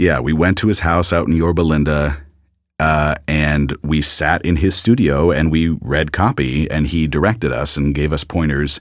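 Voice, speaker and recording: A man with an American accent speaks at a moderate pace with a very deep, low pitch and vocal fry. His loudness is very even and his pitch variation ordinary. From US, Los Angeles. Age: 30s. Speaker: movie trailer voice actor. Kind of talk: casual interview.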